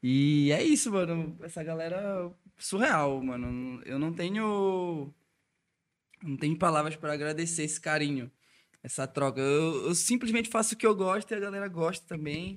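A man speaks at a high pitch and a moderate pace, with ordinary pitch variation. The recording is very clean, with a silent background. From Brazil, Belém do Pará. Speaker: electronic music DJ. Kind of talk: casual chat.

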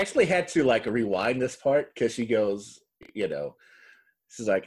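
In a very clean recording with a silent background, a man with a plain, everyday voice talks at a moderate pace and medium pitch. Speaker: podcast host. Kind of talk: casual banter recapping a reality TV episode.

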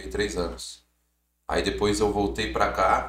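Using vocal fry, a man speaks at a fairly slow pace with a very deep, low pitch and very wide pitch swings. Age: 30s. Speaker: clothing brand founder, former footballer. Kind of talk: casual interview chat.

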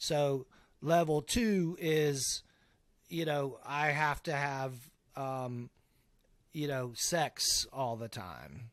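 In a very clean recording with a silent background, a man speaks very slowly at a fairly high pitch, with ordinary pitch variation and long, frequent pauses. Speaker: guest sharing recovery story. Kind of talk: testimony.

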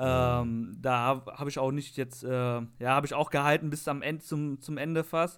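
In an unremarkable speaking voice, a man with a fairly high pitch keeps a moderate pace, fairly even intonation and hardly any pauses. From Lower Rhine region, western Germany. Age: 20s. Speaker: IT administrator. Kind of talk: casual chat.

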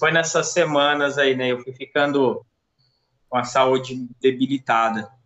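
A man with a plain, everyday voice speaks at medium pitch and a fairly slow pace, keeping his intonation fairly even. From Brazil, Minas Gerais (Uberaba). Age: 30s. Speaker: COVID-19 survivor. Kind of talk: casual interview, personal testimony.

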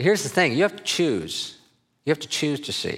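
A man talks with an American accent and lively intonation. Vocal fry runs through his voice. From US Midwest (Minnesota). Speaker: missions organization leader. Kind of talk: sermon. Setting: church.

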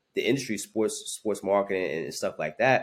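The speaker has a New York accent, heard in a very clean recording with a silent background. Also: man. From Brooklyn, New York. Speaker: sports marketing executive. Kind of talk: podcast interview.

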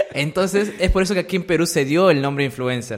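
Noticeable background noise fills the recording. Over it, a man speaks fairly quickly with lively intonation. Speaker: YouTuber. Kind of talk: casual chat.

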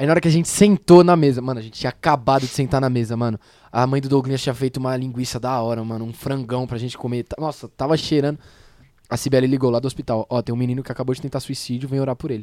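Very fast speech comes from a man with a dark, mellow tone, medium pitch, and fairly even intonation. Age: young. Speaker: young church member back from mission trip. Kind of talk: casual podcast chat.

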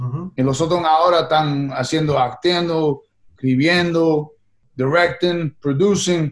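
Fairly even intonation from a man with an English accent, fairly high in pitch, at a very slow pace. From New York (Queens), Puerto Rican-Italian family. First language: English (speaking Spanish). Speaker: actor and musician. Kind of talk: interview. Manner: halting, frequent repetitions and English code-switching.

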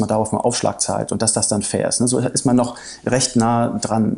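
A man's normal speaking voice, medium in pitch and moderate in pace. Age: 30s. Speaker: coffee company managing director. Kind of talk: interview.

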